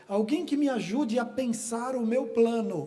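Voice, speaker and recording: This man's voice sits extremely high and moves very slowly. Room echo is audible around him. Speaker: pastor. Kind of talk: sermon. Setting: church.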